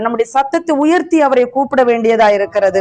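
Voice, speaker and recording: Noticeable background noise runs under the recording. A woman speaks at a high pitch with ordinary pitch variation. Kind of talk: preaching / teaching before worship.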